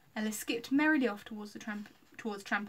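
The clip is plain reading aloud, its pitch varying in an ordinary way.

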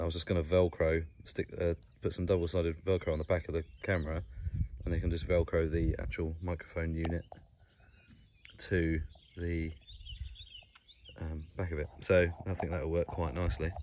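A man's low, slightly mellow voice at a moderate pace, with little pitch movement and long, frequent pauses

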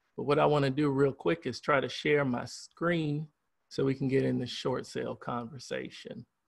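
Moderately paced speech from a man, ordinary in its pitch variation, over a quiet background. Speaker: real estate broker; guest. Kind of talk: webinar presentation. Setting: video call. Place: home room. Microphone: video call.

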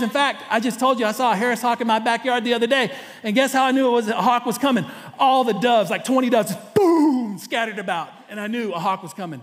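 Speaking at a very fast pace in a Texan accent, a man uses an extremely high pitch with ordinary pitch variation. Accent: Texan Southern US. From East Texas. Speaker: pastor. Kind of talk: sermon. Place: church. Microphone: headset.

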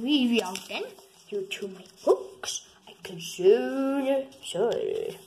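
A female-sounding, cartoonish character voice, high in pitch, drawls out its words at a very slow pace. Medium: puppet.

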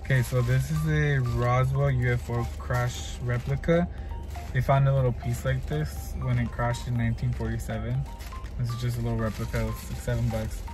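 The speech moves at a fairly quick pace while clear music plays in the background. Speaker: vlogger. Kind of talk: casual vlog chat. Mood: cheerful, amused. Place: car.

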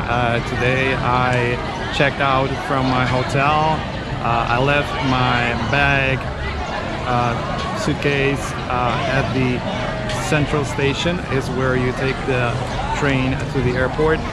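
Over loud background noise, the speaker goes at a very slow pace with long, frequent pauses, and the sound is dry with no echo. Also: man. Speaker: travel vlogger. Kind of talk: casual vlog chat. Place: station. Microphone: phone near.

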